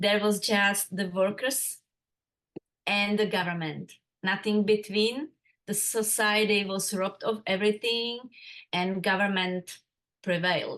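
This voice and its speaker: A woman speaks with a Czech accent at a medium pitch and a fairly slow pace. Her intonation stays fairly even, broken by long, frequent pauses. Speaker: interviewee sharing life story. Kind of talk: interview. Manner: halting.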